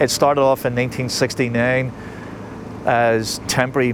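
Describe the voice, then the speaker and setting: With noticeable background noise behind him, a man speaks in a Belfast accent at a medium pitch with monotone, flat intonation. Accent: Belfast Northern Irish. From Northern Ireland, Belfast. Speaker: taxi tour guide. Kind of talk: guided tour talk.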